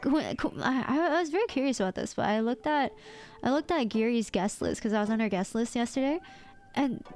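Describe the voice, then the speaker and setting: A woman speaks at a high pitch with lively intonation, an animated tone and very even loudness. Music plays in the background. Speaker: VTuber streamer. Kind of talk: casual chat.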